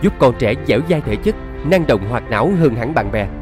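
A man talks at a moderate pace over music in the background, swinging his pitch very widely. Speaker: voice actor. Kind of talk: TV commercial read.

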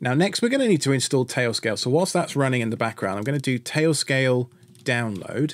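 The voice moves at a fairly quick pace with ordinary pitch variation. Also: man. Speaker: tech tutorial host. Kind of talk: tutorial.

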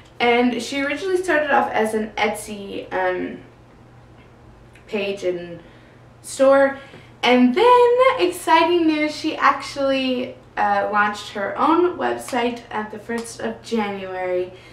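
A woman with a high pitch speaks at a fairly slow pace, with audible room echo around her voice. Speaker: book vlogger. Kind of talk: casual vlog chat. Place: home room.

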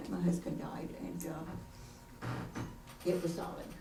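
A woman is talking, with noticeable noise in the background. Her voice carries audible room echo. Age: 80s+. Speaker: resident speaking at council meeting. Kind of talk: public comment at council meeting. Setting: city council meeting. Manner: halting.

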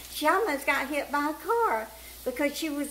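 With a Southern US accent, the voice has a warm tone and a moderate pace over light background noise. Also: woman. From US South. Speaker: cooking vlogger. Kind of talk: homespun storytelling aside while cooking, recounting caring for an elderly woman. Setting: home kitchen. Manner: chatty and folksy, with frequent fillers; warm, meandering anecdotal pace with small repetitions. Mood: warm, chatty.

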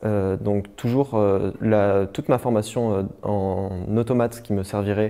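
A dark, mellow tone with fairly even intonation. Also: man. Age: 20s. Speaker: university student. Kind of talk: testimony. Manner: halting.

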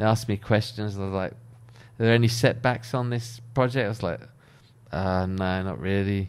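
A man with a British accent speaks at a fairly low pitch. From UK. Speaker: architect. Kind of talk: casual monologue. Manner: casual, hesitant with fillers. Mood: relaxed, conversational. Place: home room. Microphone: studio mic.

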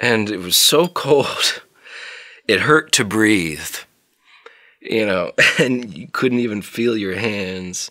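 Against a quiet background, a man speaks with a fairly low pitch and ordinary pitch variation. His tone is bright and sharp. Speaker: interviewee. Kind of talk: interview answer, personal story. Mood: fond, reminiscing, smiling. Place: studio.

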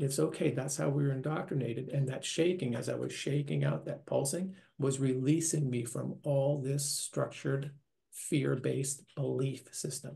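A man with an American accent, a fairly high pitch, vocal fry and a dark, mellow tone, at a moderate pace with fairly even intonation over a quiet background. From US Northeast, New York; later Minnesota. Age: 60s. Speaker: near-death experiencer, retiree. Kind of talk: interview testimony. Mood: earnest, reflective. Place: home room. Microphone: webcam.

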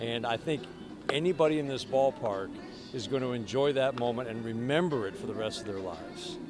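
Noticeable background noise surrounds a man's speech. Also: dry sound with no echo. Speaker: baseball radio announcer. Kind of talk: sports radio interview answer. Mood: warm, enthusiastic, smiling. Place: stadium. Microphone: handheld.

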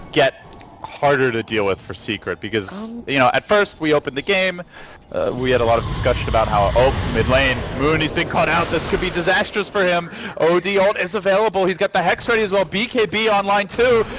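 An animated, excited voice makes very wide pitch swings over noticeable background noise. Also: man, high pitch for a man. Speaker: esports commentator. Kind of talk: live esports commentary. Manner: fast-paced, play-by-play delivery.

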